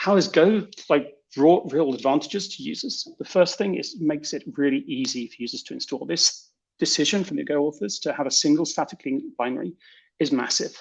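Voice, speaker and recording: With a British accent, a man talks at a fairly quick pace in a high voice, his pitch swinging very widely and his loudness rising and falling a lot. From Britain. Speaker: software developer. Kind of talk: conference talk.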